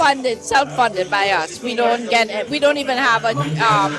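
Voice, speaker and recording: With music in the background, the speech proceeds at a moderate pace. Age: 60s. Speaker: coffee business owner. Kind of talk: casual interview.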